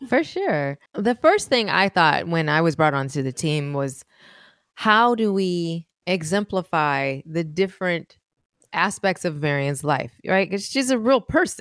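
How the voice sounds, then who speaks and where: A woman with an American accent and a plain, everyday voice talks at a fairly slow pace in a fairly low pitch with lively intonation, on a very clean recording with a silent background and a dry, close sound with no echo. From US West Coast, Oakland, California. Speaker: pianist and musician. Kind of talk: interview conversation.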